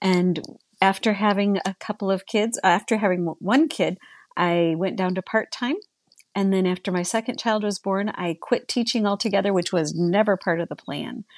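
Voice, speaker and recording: In a plain, everyday voice, a woman speaks at a moderate pace and medium pitch, with ordinary pitch variation. The sound is dry and close with no echo, over a quiet background. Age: 60s. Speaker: licensed professional counselor. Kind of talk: interview.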